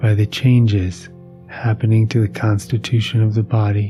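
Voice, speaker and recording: Music plays behind a man speaking in a calm, soothing tone. His fairly low voice moves at a fairly slow pace with fairly even intonation. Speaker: meditation teacher and sleep podcast host. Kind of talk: reading a philosophical text aloud for sleep. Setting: podcast recording. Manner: calm, soothing, slow.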